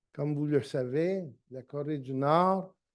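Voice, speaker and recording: Over a quiet background, a man speaks with a fairly high pitch and ordinary pitch variation. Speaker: lecturer. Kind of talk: lecture. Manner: halting, many hesitations.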